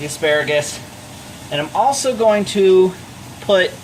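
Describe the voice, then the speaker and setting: A man shouting loud at a high pitch and a fairly slow pace, with noticeable background noise. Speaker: home cooking vlogger. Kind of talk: cooking tutorial. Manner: loud, near-yelling; casual, chatty. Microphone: microphone not plugged in, using built-in mic.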